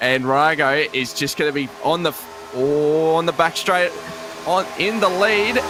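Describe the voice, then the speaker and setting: A man's fairly high-pitched voice, with ordinary pitch variation, comes through noticeable background noise. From Australia. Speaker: sim racing commentator. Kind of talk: live commentary. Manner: animated.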